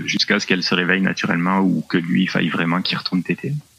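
A man with a very deep, low pitch talks at a very fast pace over noticeable background noise. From southwest France. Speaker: new father. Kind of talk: remote interview. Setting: remote call.

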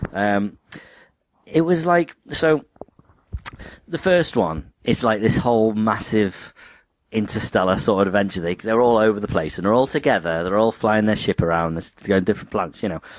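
This man has an unremarkable speaking voice with fairly low pitch. His intonation is lively and his pace moderate. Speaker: podcast host. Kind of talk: casual chat.

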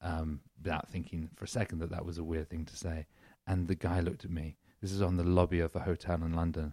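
A man with an English accent, very deep and low in pitch, dark and mellow in tone, monotone and flat, at a very fast pace, on a very clean recording with a silent background and a dry, close sound with no echo. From England. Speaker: comedian. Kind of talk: casual chat.

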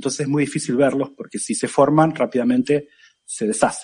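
A man with an Argentine accent speaks in a dark, mellow tone. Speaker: physics professor. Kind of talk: casual chat.

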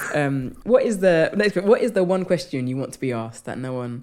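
A woman speaks with a London accent in a dark, mellow tone. Her pitch swings very widely. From London, England. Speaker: comedian and writer. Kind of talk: casual interview chat.

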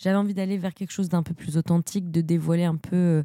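In a very clean recording with a silent background, a woman speaks at a fairly quick pace in a fairly low pitch, her tone dark and mellow and her intonation monotone and flat. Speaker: film podcaster. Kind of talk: solo podcast film review. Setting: home studio. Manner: hesitant, many fillers.

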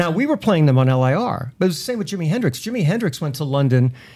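Very fast speech from a man with an American accent, fairly high in pitch, dark and mellow in tone, with very wide pitch swings. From Long Island, New York. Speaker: radio personality. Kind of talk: casual interview chat.

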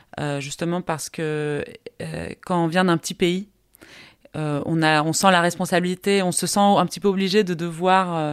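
A woman's fairly low voice, fairly slow with long, frequent pauses and fairly even intonation, on a very clean recording with a silent background. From Costa Rica. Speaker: film director. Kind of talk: interview. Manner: halting.

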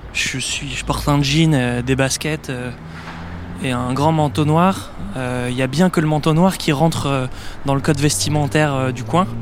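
A man's fairly high voice at a fairly slow pace, with ordinary pitch variation, long, frequent pauses and noticeable background noise. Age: 20s. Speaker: podcast host and journalist. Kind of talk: on-location travel narration. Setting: outdoors in city streets.

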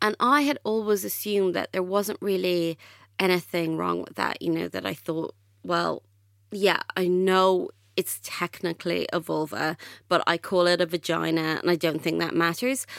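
In a dry, close sound with no echo and a very clean recording with a silent background, a woman speaks at a moderate pace in a fairly low pitch with ordinary pitch variation. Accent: Irish. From Ireland. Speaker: author. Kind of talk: podcast interview.

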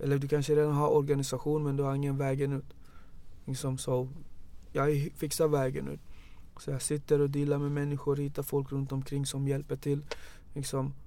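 Fairly high yet dark and mellow in tone, a man's voice moves at a moderate pace with monotone, flat intonation and long, frequent pauses. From Gambia. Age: 30s. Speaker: youth organisation founder. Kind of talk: casual interview.

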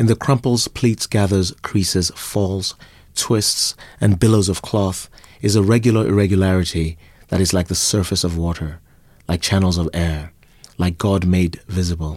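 At a moderate pace and with fairly even intonation, a man talks at a very deep, low pitch in a very clean recording with a silent background. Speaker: writer and photographer. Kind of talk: interview answers about his book.

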